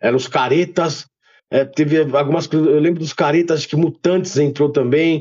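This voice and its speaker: This man's pitch is fairly high. His intonation stays monotone and flat. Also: moderate pace. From São Paulo, Brazil. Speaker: rapper and former graffiti writer. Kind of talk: casual interview chat.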